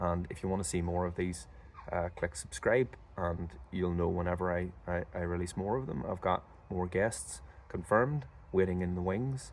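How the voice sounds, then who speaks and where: A man with a Northern Irish accent and very deep, low pitch speaks at a moderate pace with lively intonation. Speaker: podcast host and drummer. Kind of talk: casual interview chat; solo video intro. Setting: outdoors for the intro. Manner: casual, some stammering repeats.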